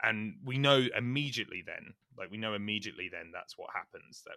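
A man speaks in a British accent. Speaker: podcast host. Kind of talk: casual chat.

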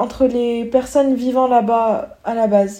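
At a moderate pace, a woman with a high pitch and a dark, mellow tone speaks in a monotone, flat intonation. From Morocco. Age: young. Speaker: student. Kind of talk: casual chat.

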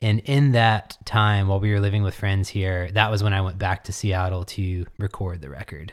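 A man with an American accent speaks at a moderate pace with hardly any pauses, his pitch fairly low and his intonation fairly even. The recording is very clean, with a silent background. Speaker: musician. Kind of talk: interview. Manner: halting.

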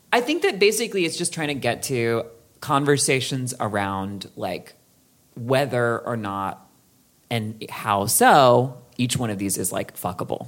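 The pace is fairly slow. The intonation is lively. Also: woman, very deep, low pitch for a woman. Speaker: podcast co-host. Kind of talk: casual chat.

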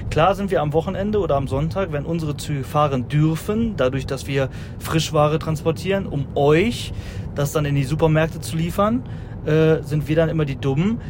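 There's noticeable background noise as a man speaks with a fairly high pitch. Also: ordinary pitch variation, moderate pace. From Rhineland, near Düsseldorf. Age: 20s. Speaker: haulage business owner. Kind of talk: casual chat. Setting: in a moving electric car.

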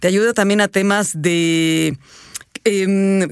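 Here is a woman with an ordinary speaking voice at medium pitch. Her pitch variation is ordinary. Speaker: radio host. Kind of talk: casual chat.

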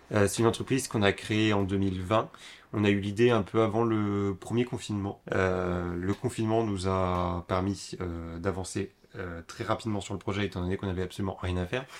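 A man with an unremarkable speaking voice, fairly low in pitch, fairly even in intonation, at a moderate pace. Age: 20s. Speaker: young entrepreneur, upcycling craftsman. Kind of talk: casual interview.

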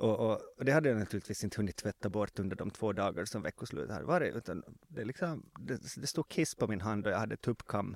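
A man races along very fast with hardly any pauses and very wide pitch swings, the sound dry and close with no echo. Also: fairly low pitch for a man. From Finland, Swedish-speaking Ostrobothnia (Vasa). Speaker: former journalist, now PR consultant. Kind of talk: casual interview. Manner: halting, many fillers and repetitions.

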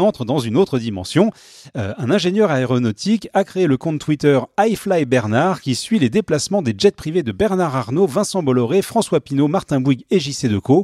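At a moderate pace, a man with a fairly high pitch and a dark, mellow tone swings his pitch very widely, the sound dry and close with no echo. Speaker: podcast co-host. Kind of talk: prepared segment reading.

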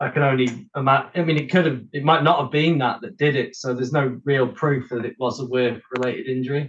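Somewhat breathy, a man rushes along at a very fast pace with hardly any pauses and fairly even intonation. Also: medium pitch for a man. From England, Shropshire (Oswestry). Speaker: drummer. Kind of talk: casual chat.

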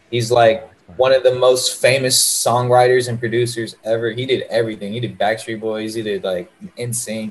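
A man at medium pitch and a moderate pace, with noticeable background noise. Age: 20s. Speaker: rapper. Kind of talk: casual chat. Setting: video call. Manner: animated.

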